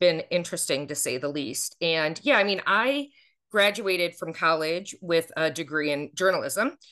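In a quiet background, a woman speaks with an American accent at a moderate pace. Her pitch is fairly low and her tone bright and sharp. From Buffalo, upstate New York. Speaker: former TV reporter, speaker. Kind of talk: interview.

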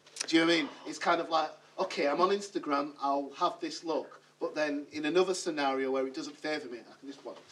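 There is noticeable background noise behind a man's voice. He speaks at a fairly high pitch with fairly even intonation. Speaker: podcast co-host. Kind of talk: casual chat. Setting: studio.

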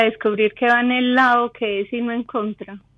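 A woman speaks with a Colombian accent and a high pitch. Her intonation stays monotone and flat. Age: 40s. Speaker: caller. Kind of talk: casual chat.

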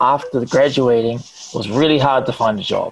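At a moderate pace, a man talks with medium pitch and fairly even intonation. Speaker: media personality. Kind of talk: casual chat. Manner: projects voice louder when recording.

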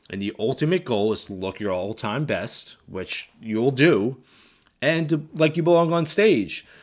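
A man with an unremarkable speaking voice talks at a medium pitch and a moderate pace, with lively intonation. The recording is very clean, with a silent background. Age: 50s. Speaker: bodybuilding coach. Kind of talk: solo podcast monologue.

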